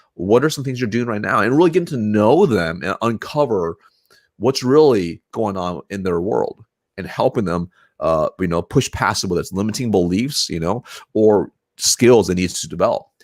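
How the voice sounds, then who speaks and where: Recorded very cleanly against a silent background, with a dry, close sound and no echo, a man with a fairly low pitch speaks at a moderate pace in an animated tone with lively intonation. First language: not English. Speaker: sales leader. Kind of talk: interview conversation. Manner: animated, repetitive restarts.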